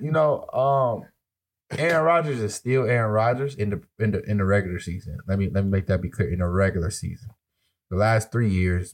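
An unremarkable speaking voice from a man, medium in pitch, at a moderate pace with lively intonation, on a very clean recording with a silent background. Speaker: sports podcast co-host. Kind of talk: casual chat.

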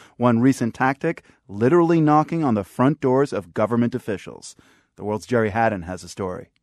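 With an ordinary speaking voice, a man speaks fairly quickly at a medium pitch with lively intonation, in a dry, close recording with no echo and a quiet background. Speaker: radio host. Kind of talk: news anchor introduction. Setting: studio.

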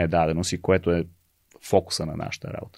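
The voice moves at a moderate pace with monotone, flat intonation. The recording is very clean with a silent background and a dry, close sound with no echo. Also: man. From Bulgaria. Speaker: education nonprofit executive director. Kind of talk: casual interview.

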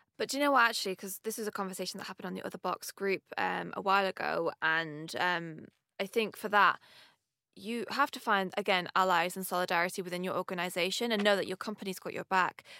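Bright and sharp in tone, the voice rushes at a very fast pace with ordinary pitch variation and big swings in loudness, sounding dry and close with no echo. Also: woman, medium pitch for a woman. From Manchester, northern England. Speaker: company co-founder. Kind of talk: interview conversation.

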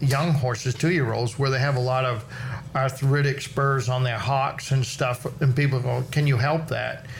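Against noticeable background noise, a man talks in a fairly high voice with monotone, flat intonation. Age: 60s. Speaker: farrier. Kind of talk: casual chat.

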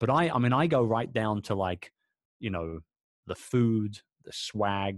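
This man talks at a fairly slow pace in a London accent, with long, frequent pauses. His pitch varies in an ordinary way while his loudness swings widely. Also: dry, close sound with no echo. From London, England. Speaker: entrepreneur. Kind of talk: casual chat.

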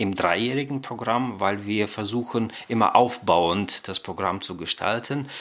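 With noticeable background noise, a man of fairly low pitch and ordinary pitch variation speaks at a fairly slow pace. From Kazakhstan, raised in Germany from childhood. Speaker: director of studies at a Bible seminary. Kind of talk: interview.

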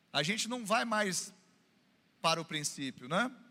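With a raised, projected voice, a man speaks in an animated, bright, sharp tone at a high pitch. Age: 40s. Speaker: pastor. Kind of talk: sermon. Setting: church.

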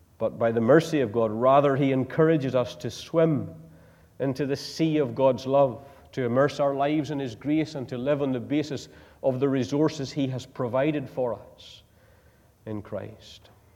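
A man with a Northern Irish accent speaks at a moderate pace and medium pitch, his tone dark and mellow. His intonation is fairly even, while his loudness swings widely. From Northern Ireland. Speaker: preacher. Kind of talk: sermon. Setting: church.

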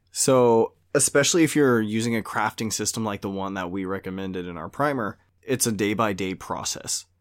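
In a normal speaking voice with an American accent, a man talks at a fairly quick pace with ordinary pitch variation on a very clean recording with a silent background. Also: fairly low pitch for a man. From Louisiana, US South (Cajun). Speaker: tabletop gaming podcast host. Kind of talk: casual chat.

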